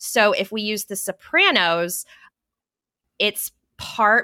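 A woman with an American accent speaks in a bright, sharp tone with fairly even intonation. The recording is very clean with a silent background, and the sound is dry and close with no echo. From Texas, Fort Worth. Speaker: political journalist. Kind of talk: casual chat.

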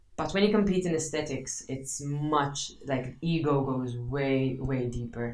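Heard with audible room echo, a woman's very deep, low voice shows ordinary pitch variation. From Malta, Marsaxlokk. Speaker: CrossFit athlete and coach. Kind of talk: casual interview.

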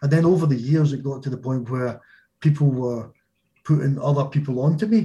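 Somewhat breathy with a dark, mellow tone, the voice moves at a fairly quick pace in a strong Glaswegian accent, with ordinary pitch variation. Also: man, fairly high pitch for a man. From Scotland, Glasgow. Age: 50s. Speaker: small business owner. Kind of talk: casual interview chat.

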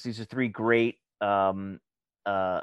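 The sound is dry and close with no echo as a man speaks in an American accent. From Long Island, New York. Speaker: actor. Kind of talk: casual chat. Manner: halting.

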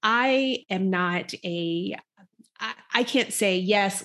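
A woman speaks at a medium pitch with ordinary pitch variation, in an unremarkable speaking voice. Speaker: executive coach and speaker. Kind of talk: casual chat.

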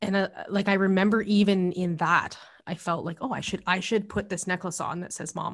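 Against a quiet background, a woman with a Canadian accent talks at a fairly quick pace in a medium pitch, with fairly even intonation and a somewhat breathy sound. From Alberta, Canada (Calgary, Lethbridge). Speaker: cookbook author and meal prep business owner. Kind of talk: casual interview chat.

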